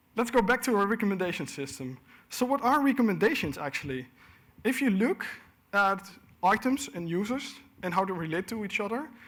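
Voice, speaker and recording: A man with a high pitch talks at a fairly quick pace, his pitch swinging very widely, broken by long, frequent pauses. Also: very clean recording, silent background. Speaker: conference speaker. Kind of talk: technical conference talk. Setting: stage with audience. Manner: fast.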